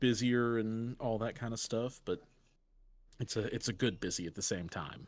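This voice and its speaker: Over a silent background in a very clean recording, a man with a slight Southern US accent speaks at a medium pitch, a moderate pace and with fairly even intonation. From US South, Middle Tennessee (Franklin). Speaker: gaming content creator. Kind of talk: casual chat. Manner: hesitant, many fillers.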